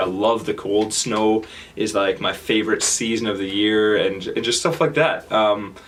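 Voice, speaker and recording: Against noticeable background noise, a man with a strong Canadian accent talks at a moderate pace in a fairly low pitch with fairly even intonation. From Canada, Kitchener-Waterloo, Ontario. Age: 20s. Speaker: speaker sharing travel experiences. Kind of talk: talk to audience. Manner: halting, many fillers and repetitions.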